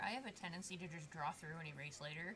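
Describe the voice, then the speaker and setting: A woman with an American accent talks at a very fast pace in a bright, sharp tone and a fairly low pitch. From Michigan.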